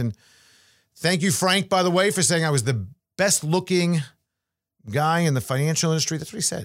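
In a very clean recording with a silent background, a man talks at a very fast pace with lively intonation and a fairly high pitch. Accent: New York. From New York. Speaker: financial podcast host and investment advisor. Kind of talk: casual monologue on finance.

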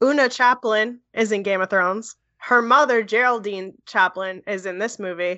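A normal speaking voice with an American accent, at a moderate pace and with hardly any pauses. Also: woman, fairly high pitch for a woman, ordinary pitch variation. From US Northeast, New Jersey (Edison). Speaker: podcast co-host and film editor. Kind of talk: casual chat.

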